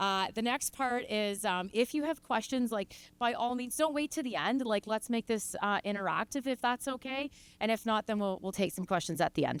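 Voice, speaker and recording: On a very clean recording with a silent background and a dry, close sound with no echo, a woman with a Canadian accent speaks at a fairly high pitch with ordinary pitch variation. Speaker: farm management consultant. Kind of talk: conference talk. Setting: stage with audience. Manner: fast.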